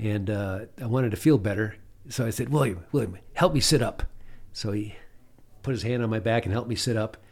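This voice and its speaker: A man with a plain, everyday voice talks fairly quickly at a medium pitch with ordinary pitch variation. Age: 60s. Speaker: pilot and adventurer. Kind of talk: casual interview telling stories.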